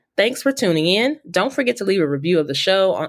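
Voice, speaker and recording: At a very fast pace, a woman with a medium pitch talks in an animated, enthusiastic tone, her pitch swinging very widely. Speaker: podcast host. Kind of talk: interview conversation.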